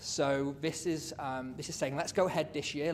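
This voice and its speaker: Audible room echo surrounds this man's voice. He talks at a moderate pace with fairly even intonation. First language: not English. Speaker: city councillor. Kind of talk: council meeting debate. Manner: hesitant, many fillers.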